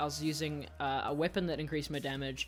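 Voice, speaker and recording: Over music in the background, the speaker talks at a fairly quick pace in a New Zealand accent. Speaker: gaming YouTuber. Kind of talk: Q&A video answering viewer questions. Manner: casual, hesitant with fillers.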